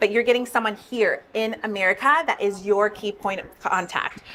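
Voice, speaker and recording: With noticeable background noise behind her, a woman talks with ordinary pitch variation. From Brazil. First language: Portuguese. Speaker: business founder. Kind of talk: interview.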